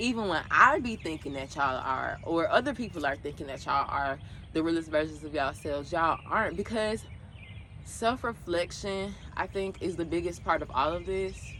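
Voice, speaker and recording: Her voice fairly low in pitch, a woman speaks with a bright, sharp tone, lively intonation, and vocal fry. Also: moderate pace. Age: 20s. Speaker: podcast host. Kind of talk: casual monologue. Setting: outdoors. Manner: casual, conversational.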